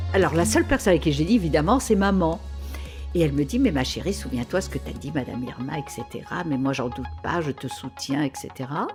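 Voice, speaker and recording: The speaker talks at a fairly quick pace. Music plays in the background. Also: woman. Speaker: clairvoyant. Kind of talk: interview answer. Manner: enthusiastic, laughing.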